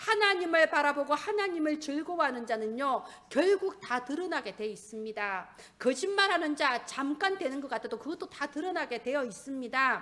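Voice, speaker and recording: A woman with a Gyeongsang accent speaks at a moderate pace. Her high pitch swings very widely. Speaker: pastor. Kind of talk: sermon. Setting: church.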